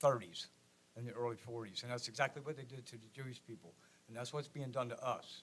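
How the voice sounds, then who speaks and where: A man speaks at a very fast pace. He has a medium pitch and an American accent. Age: 60s. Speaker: resident speaking at public comment. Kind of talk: public comment at city meeting. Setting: city commission meeting room.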